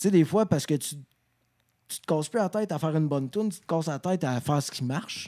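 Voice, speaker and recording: A man talks at a very fast pace, his fairly high pitch carrying a dark, mellow tone. His pitch varies in an ordinary way, and the background is quiet. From Quebec. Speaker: rock singer; podcast guest. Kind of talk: casual chat. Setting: studio. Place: studio. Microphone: handheld.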